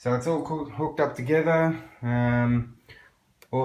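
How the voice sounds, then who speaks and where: A man at a medium pitch with an Australian accent, moderate pace and fairly even intonation. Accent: thick Australian. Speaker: electronic music producer. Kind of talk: tutorial. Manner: casual.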